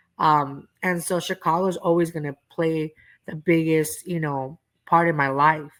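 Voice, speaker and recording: A woman speaks in a flat monotone at a very deep, low pitch and a fairly slow pace. The recording is very clean, with a silent background. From East Los Angeles, Southern California. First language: Spanish. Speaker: comedian. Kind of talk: casual chat.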